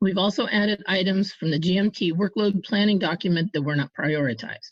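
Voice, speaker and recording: A woman speaks at a fairly quick pace with medium pitch, ordinary pitch variation and a somewhat breathy quality. Her loudness stays very even. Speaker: advisory panel representative. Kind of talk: formal report presentation.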